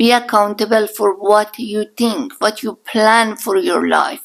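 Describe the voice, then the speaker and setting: This woman speaks very slowly, with a strong Iranian accent. Her pitch is fairly high, with ordinary variation. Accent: thick Iranian. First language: Persian. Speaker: podcast guest, mother-in-law. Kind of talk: casual interview chat.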